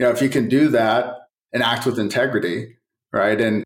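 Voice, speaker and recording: Music plays in the background as a man of medium pitch talks at a fairly quick pace in a monotone, flat intonation. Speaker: technology company executive. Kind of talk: casual interview.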